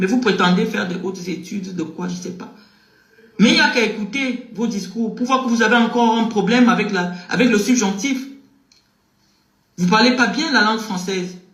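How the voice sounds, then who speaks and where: A man with a Cameroonian accent talks at a moderate pace with long, frequent pauses. His voice is high in pitch with ordinary variation, and there is audible room echo. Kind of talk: heated criticism.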